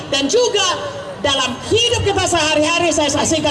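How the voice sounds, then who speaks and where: A woman is shouting at a fairly quick pace with lively intonation. Audible room echo and noticeable background noise accompany her. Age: 70s. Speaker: pastor and doctor. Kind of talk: testimony. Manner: loud, shouting.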